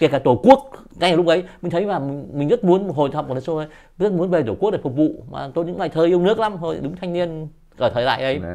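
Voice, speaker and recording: Over a quiet background, a man talks at a very fast pace in a high voice with lively intonation and a dark, mellow tone. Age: 60s. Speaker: poet. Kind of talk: interview. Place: home room. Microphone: lapel.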